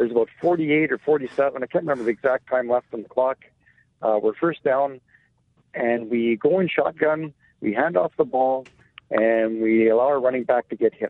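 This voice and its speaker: At a moderate pace, a man with an ordinary speaking voice talks at medium pitch with ordinary pitch variation. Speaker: caller. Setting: phone call.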